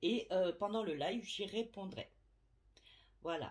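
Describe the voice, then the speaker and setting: A woman's somewhat breathy speech, its pitch swinging very widely. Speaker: medium / tarot reader. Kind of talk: casual vlog to subscribers. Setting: at home, window open. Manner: hesitant, many fillers.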